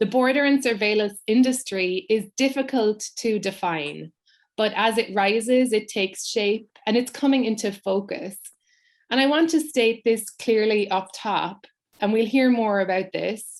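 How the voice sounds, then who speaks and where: A woman talks with an American accent at a fairly slow pace. Her pitch is fairly high, with ordinary pitch variation. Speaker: writer and performer, event host. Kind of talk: hosting an online panel event. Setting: online live event, video stream.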